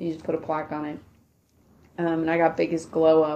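A woman's very deep, low voice with a dark, mellow tone, monotone, flat intonation and a fairly quick pace. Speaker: grad student. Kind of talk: casual chat.

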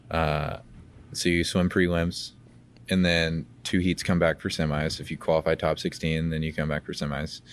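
Over a quiet background, a man with an American accent speaks in a very deep, low pitch with monotone, flat intonation. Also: moderate pace. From Georgia, US (Dunwoody, metro Atlanta). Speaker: Olympic swimmer, college athlete. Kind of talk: interview. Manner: halting, many fillers.

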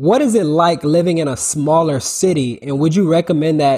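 A man with an ordinary speaking voice talks at a fairly quick pace in a fairly high pitch, with ordinary pitch variation, on a very clean recording with a silent background. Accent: American. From Orlando, Florida. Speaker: podcast host. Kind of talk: casual interview.

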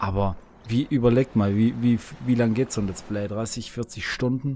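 A man talks at a moderate pace in an ordinary speaking voice, medium in pitch with ordinary pitch variation, on a very clean recording with a silent background. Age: 20s. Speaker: video gamer. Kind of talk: casual chat.

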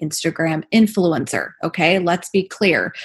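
A somewhat breathy voice at a fairly slow pace. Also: woman. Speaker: esthetician and podcaster. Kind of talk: interview, casual chat.

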